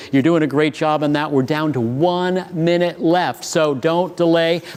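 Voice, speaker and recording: Over noticeable background noise, a man talks in an animated tone at a fairly high pitch. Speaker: auction host. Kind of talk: live auction commentary. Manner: fast.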